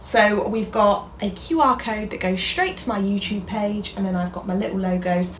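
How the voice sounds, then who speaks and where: A woman speaks at a medium pitch with ordinary pitch variation, in a British accent. There is noticeable background noise and audible room echo. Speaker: YouTuber, crafts creator. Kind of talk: casual vlog chat. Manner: fast; animated.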